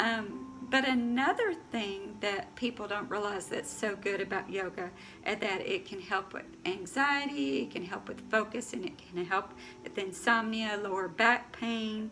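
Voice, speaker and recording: Over noticeable background noise, a woman with fairly high pitch speaks. Her pace is fairly slow and her intonation lively. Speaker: yoga instructor. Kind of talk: tutorial. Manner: halting, many fillers.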